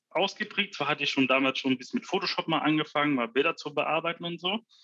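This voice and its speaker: The man's voice is fairly high-pitched with a bright, sharp tone. The sound is dry and close, with no echo. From Ruhr area, Germany (Essen). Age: 20s. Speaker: freelance 3D visualizer. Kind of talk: casual interview.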